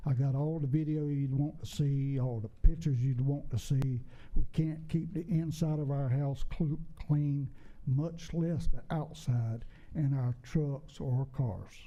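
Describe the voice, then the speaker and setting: Speaking fairly slowly, a man has a fairly high pitch, a somewhat breathy, dark, mellow tone and fairly even intonation. Audible room echo surrounds his voice. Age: 70s. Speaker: public commenter at town council meeting. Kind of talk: public comment at council meeting. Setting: council chamber.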